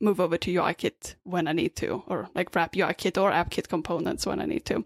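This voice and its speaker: A woman with a Swedish accent speaks at medium pitch and a fairly quick pace with vocal fry, in a very clean recording with a silent background and a dry, close sound with no echo. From Sweden. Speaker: app developer and meetup organizer. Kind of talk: casual chat.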